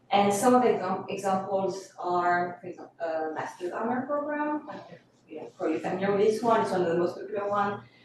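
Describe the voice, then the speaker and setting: In a French accent, a woman speaks at a very fast pace and medium pitch, with ordinary pitch variation, big swings in loudness and audible room echo. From France, Corsica. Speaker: coastal hazard specialist. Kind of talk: presentation at public meeting. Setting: council committee meeting.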